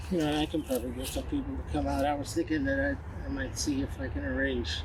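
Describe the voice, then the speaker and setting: Room echo can be heard. A man talks at a very fast pace. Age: 70s. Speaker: army veteran and mentor. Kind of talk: casual chat.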